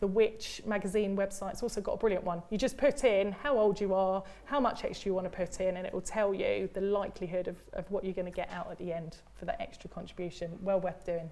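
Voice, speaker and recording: Talking very fast with hardly any pauses, a woman with a British accent uses a medium pitch, a dark, mellow tone and fairly even intonation. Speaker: pension expert. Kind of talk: live Q&A advice. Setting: studio.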